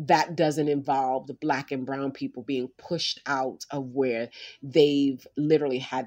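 On a very clean recording with a silent background, a woman with a very deep, low pitch speaks in an animated tone with hardly any pauses. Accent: New York. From South Bronx, New York City. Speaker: physician and community organizer. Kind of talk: interview.

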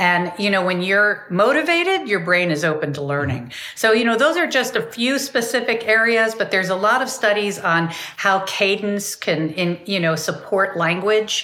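Noticeable background noise behind a woman at a moderate pace, medium in pitch and lively in intonation. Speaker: music therapist and author. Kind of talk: casual interview chat. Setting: video call.

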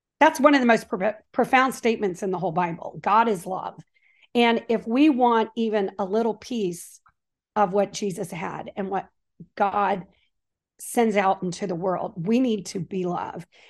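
With an unremarkable speaking voice, a woman talks at a medium pitch and a moderate pace with ordinary pitch variation over a quiet background. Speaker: author and Bible teacher. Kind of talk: casual interview chat.

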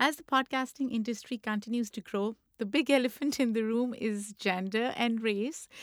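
A woman with a Pakistani accent talks at a moderate pace and fairly high pitch, with ordinary pitch variation. The sound is dry and close, with no echo. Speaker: podcast host. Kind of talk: casual interview.

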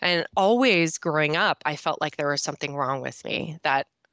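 A woman with a Minnesotan accent, bright and sharp in tone, at a moderate pace with ordinary pitch variation, in a very clean recording with a silent background and a dry, close sound with no echo. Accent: Minnesota. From northern Minnesota, US Midwest. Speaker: sobriety coach and speaker. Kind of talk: interview, telling personal story.

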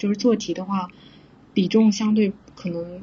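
A woman's somewhat breathy voice with flat, monotone intonation. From southern China. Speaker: software engineer. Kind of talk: casual interview chat.

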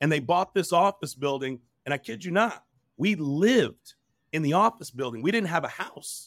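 Speaking in a fairly high voice with an American accent, a man keeps an energetic tone, lively intonation and a moderate pace, with a dry, close sound and no echo. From Texas, small country town (Dominican family, born New Jersey). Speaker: roofing executive and bodybuilder. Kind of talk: interview conversation. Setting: remote call overlooking harbor.

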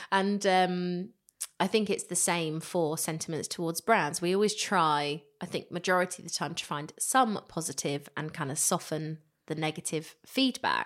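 A woman with an ordinary speaking voice speaks at a moderate pace in a fairly low pitch with ordinary pitch variation. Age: 30s. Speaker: podcast host. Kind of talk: casual interview chat.

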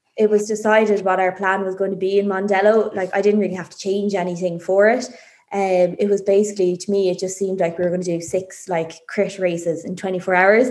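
Speaking very fast with an Irish accent, a woman keeps her medium-pitched intonation monotone and flat. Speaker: amateur cyclist. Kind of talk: interview.

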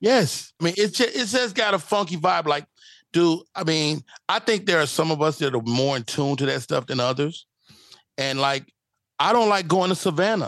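With an American accent, a man speaks in a normal speaking voice at a fairly high pitch, using lively intonation at a moderate pace against a quiet background. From Chicago. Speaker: stand-up comedian. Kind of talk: casual interview chat.

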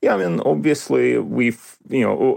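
A man speaks with a Russian accent. His pace is moderate. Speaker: history professor. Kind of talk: interview. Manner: halting, many fillers and repetitions.

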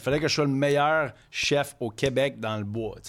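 On a very clean recording with a silent background, a man with a normal speaking voice talks at a fairly slow pace and medium pitch, with ordinary pitch variation. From Quebec City. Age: 30s. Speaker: chef. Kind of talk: casual chat.

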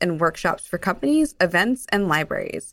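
A woman talks at a fairly quick pace in a normal speaking voice with a medium pitch. The recording is very clean, the background silent. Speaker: podcast host. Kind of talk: casual chat.

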